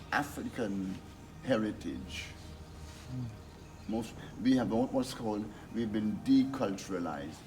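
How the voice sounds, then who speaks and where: Music plays behind a man talking at a fairly slow pace. His pitch variation is ordinary. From Guyana. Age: 80s+. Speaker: publisher and activist. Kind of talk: speech to an audience.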